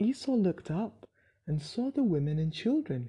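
A woman speaks with a dark, mellow tone at a fairly low pitch, her voice somewhat breathy. Her pitch swings very widely at a fairly slow pace over a quiet background. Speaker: Bible reader. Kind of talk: bible story narration, read aloud chapter by chapter. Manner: steady, even-paced storyteller; clear, measured, plainly read.

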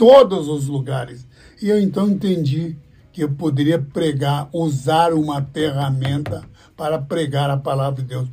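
Over music in the background, a man with a fairly high pitch speaks at a fairly slow pace. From Brazil, interior of São Paulo (born in Paraná). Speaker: evangelist pastor. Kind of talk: interview, life story. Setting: radio studio.

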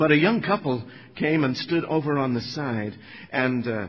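Somewhat breathy and medium in pitch, a man speaks at a fairly slow pace. His intonation is lively. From Northern Ireland. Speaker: evangelist preacher. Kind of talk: sermon. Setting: church.

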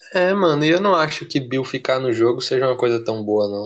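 A man with an ordinary speaking voice talks at a fairly quick pace, using a medium pitch and ordinary pitch variation. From Brazil. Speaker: podcast co-host. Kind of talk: casual chat.

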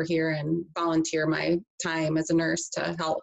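A woman talks at a moderate pace in a fairly low pitch, her intonation monotone and flat. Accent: Upper Midwest. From western Michigan, Grand Rapids area. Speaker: nurse. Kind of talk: interview conversation. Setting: video call.

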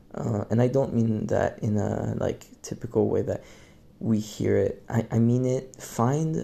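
At a fairly slow pace, a man speaks in a medium pitch with a dark, mellow tone, somewhat breathy, with ordinary pitch variation. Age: young. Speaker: podcast host. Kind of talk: solo monologue. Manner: halting.

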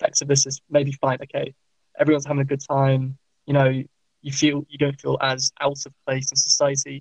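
A man speaks in a somewhat breathy, fairly high-pitched voice. The sound is dry and close, with no echo. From West Midlands England, Worcester. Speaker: pharmacist and charity volunteer. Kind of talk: casual chat.

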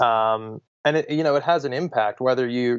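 With an American accent, a man speaks at a medium pitch and uses ordinary pitch variation. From US, Pittsburgh, Pennsylvania. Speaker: entrepreneur, travel company founder. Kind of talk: podcast interview. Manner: halting, many repeated words.

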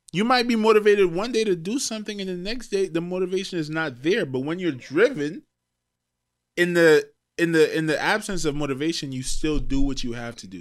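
A man talks fairly quickly in a high voice, his intonation lively and his loudness swinging widely. The recording is very clean, with a silent background. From Trinidad. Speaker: podcast host. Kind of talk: casual chat.

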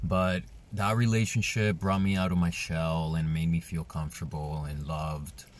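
Words come at an even, middling speed. A Spanish accent colors the speech. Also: man. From Colombia; Medellin, Colombia. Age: 30s. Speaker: podcast host. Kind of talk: solo podcast monologue, personal storytelling. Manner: casual, conversational, candid.

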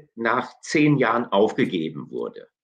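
There is vocal fry in this man's voice. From Hesse, Germany. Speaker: theology professor. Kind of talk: interview. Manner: halting.

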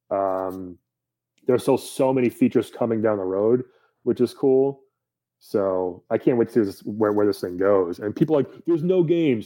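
An unremarkable speaking voice with lively intonation, at a moderate pace. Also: man, medium pitch for a man. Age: 30s. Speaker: stand-up comedian and voice actor. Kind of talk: casual chat.

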